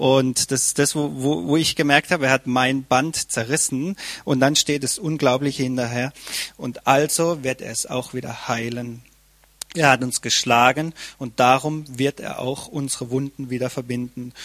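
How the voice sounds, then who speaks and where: With a normal speaking voice, a man talks at a moderate pace and with fairly even intonation, recorded with a dry, close sound and no echo. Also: medium pitch for a man. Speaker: church member. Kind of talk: testimony.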